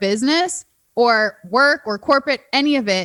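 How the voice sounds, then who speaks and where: With an American accent, a woman with a high, bright, sharp voice speaks at a moderate pace in an animated tone with lively intonation, the sound dry and close with no echo on a very clean recording with a silent background. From Minnesota, Minneapolis. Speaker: dating coach and matchmaker. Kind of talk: casual interview chat.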